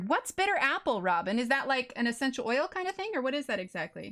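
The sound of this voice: The voice carries a slight Texas accent and moves at a very fast pace with very wide pitch swings. Noticeable background noise runs underneath. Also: woman, high pitch for a woman. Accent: slight Texas twang.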